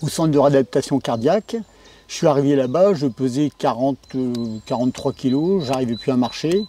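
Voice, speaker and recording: A man's fairly high voice with a dark, mellow tone, ordinary pitch variation and a moderate pace, in a dry, close sound with no echo. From northern France, Pas-de-Calais (Gueudecourt). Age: 60s. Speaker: farmer, heart transplant patient. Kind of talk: testimony interview. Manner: hesitant, many filler sounds.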